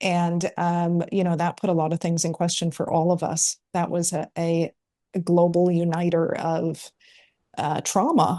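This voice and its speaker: A woman with an American accent, fairly low in pitch with a dark, mellow tone, in a monotone, flat intonation at a fairly slow pace, over a quiet background. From US Midwest, Chicago. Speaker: entrepreneur and author. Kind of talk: interview. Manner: hesitant, many fillers.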